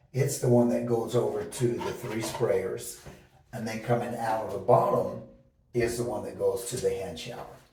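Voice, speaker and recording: Delivered at a moderate pace with big swings in loudness, the speech carries audible room echo and noticeable background noise. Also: man. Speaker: DIY home renovator. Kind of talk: tutorial. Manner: halting, many fillers; casual.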